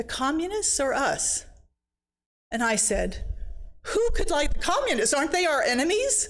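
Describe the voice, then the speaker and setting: A woman's extremely high voice with very wide pitch swings at a moderate pace, with audible room echo. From China, then Sweden. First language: Chinese. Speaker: missionary speaker. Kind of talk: personal testimony talk.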